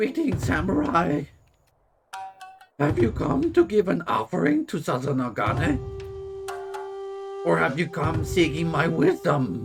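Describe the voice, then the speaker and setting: A man's put-on character voice, fairly high in pitch and fairly slow, broken by long, frequent pauses over faint music in the background. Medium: game stream. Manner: calm, gentle.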